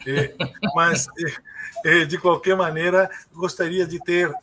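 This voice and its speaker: Noticeable background noise runs under this recording. A man speaks at a very slow pace in a high pitch. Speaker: sociologist and political scientist. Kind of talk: interview.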